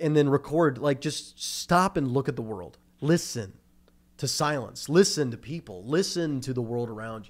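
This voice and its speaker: A man speaks in an ordinary speaking voice at a moderate pace. His intonation is lively, and his loudness swings widely. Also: fairly high pitch for a man. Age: 20s. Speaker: podcast host. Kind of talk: casual chat.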